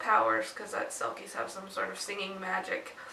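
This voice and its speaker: Audible room echo surrounds a woman's voice. Behind her there is noticeable background noise. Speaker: book vlogger. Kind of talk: casual chat.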